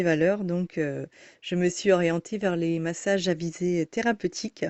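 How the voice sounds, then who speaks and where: A woman talks at a fairly slow pace. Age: 30s. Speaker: massage therapist. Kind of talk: self-introduction monologue. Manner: halting, many hesitations.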